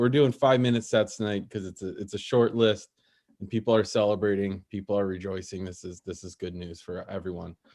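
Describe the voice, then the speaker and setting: This man talks at a very fast pace. His pitch is fairly low, with ordinary variation. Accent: Chicago. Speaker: open mic comedy host. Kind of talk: casual stand-up banter. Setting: online video stream with audience on mute. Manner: halting, many repeated fillers.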